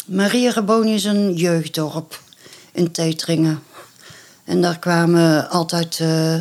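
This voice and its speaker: A woman at fairly low pitch and a very slow pace. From Netherlands. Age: 60s. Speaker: adoptee sharing life story. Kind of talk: personal testimony interview. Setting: at home, overlooking a park. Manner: hesitant, many fillers.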